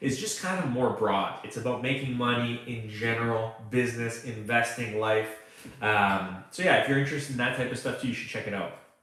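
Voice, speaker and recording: A man of medium pitch with a Canadian accent speaks at a moderate pace, with audible room echo. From Canada. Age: 30s. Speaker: online freelancing coach. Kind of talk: live stream Q&A. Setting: live stream. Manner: casual, conversational with fillers.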